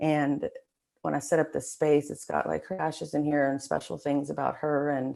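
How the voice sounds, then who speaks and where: Against a quiet background, a woman talks with vocal fry at a very deep, low pitch, her intonation monotone and flat. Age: 40s. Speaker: police officer and sobriety advocate. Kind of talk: interview testimony. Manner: halting, many fillers.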